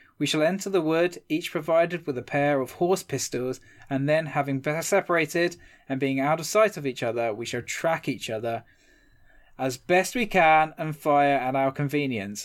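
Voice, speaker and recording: On a very clean recording with a silent background, a man speaks in a plain, everyday voice at a fairly high pitch, a moderate pace and with ordinary pitch variation. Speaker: history podcast host. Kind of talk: casual chat with storytelling.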